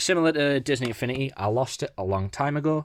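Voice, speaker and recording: In an English accent, a man talks at a very fast pace with lively intonation. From England. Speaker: gaming YouTuber. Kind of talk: casual collection walkthrough.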